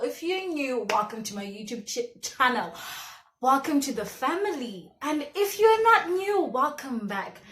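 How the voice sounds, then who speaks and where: Speaking in a Zimbabwean accent, a woman uses a high pitch and very wide pitch swings at a fairly slow pace. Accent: Zimbabwean (Shona). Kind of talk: casual talk to camera. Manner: lively, chatty.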